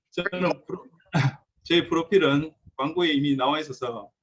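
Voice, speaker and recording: Speaking with a strong Gyeongsang accent, a man with a fairly high pitch keeps a moderate pace. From South Korea, Gyeongsang region. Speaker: car mechanic and repair shop owner. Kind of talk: lecture.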